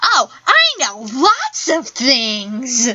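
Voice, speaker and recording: The voice sounds female and is pitched high. It is a put-on character voice. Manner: cheery.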